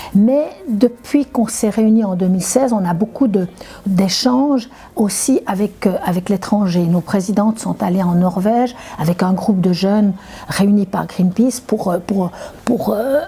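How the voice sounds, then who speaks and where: A woman talks at a fairly slow pace with a medium pitch. Her intonation varies in an ordinary way, and noticeable background noise is present. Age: 70s. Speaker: retired climate activist. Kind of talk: interview testimony. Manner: halting, many repetitions and hesitations.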